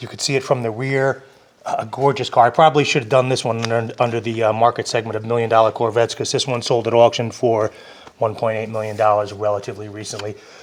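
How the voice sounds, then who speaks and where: Over noticeable background noise, a man at a medium pitch speaks very fast in a monotone, flat intonation. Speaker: car enthusiast video host. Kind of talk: casual video presentation.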